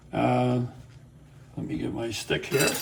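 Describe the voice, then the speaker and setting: Over noticeable background noise, a man with a Boston accent talks at a fairly slow pace. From Boston, US (Sicilian-American family). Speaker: home cook teaching recipes. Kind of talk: cooking tutorial. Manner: casual, with fillers.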